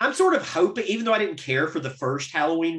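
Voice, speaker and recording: With lively intonation, a high-pitched man speaks at a very fast pace. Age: 30s. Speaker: podcast host. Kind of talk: casual chat.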